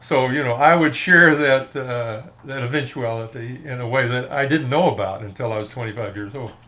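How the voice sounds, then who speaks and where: A man with a Texan accent speaks with hardly any pauses and ordinary pitch variation. Audible room echo and noticeable background noise are present. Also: medium pitch for a man, moderate pace. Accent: Texan American. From Texas, Fort Worth. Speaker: film music fan and author. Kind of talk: casual interview.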